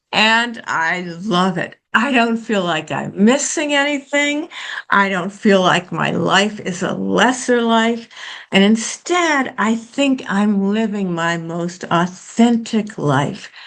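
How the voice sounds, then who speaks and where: The speaker talks at a very slow pace with lively intonation. Noticeable background noise runs underneath. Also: woman, medium pitch for a woman. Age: 70s. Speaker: social psychologist. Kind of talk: guest talk. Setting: seminar with students.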